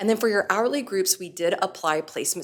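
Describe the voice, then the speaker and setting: Intonation stays fairly even as a woman talks. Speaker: compensation consultant presenting to school board. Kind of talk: presentation at board meeting. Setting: public board meeting. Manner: fast.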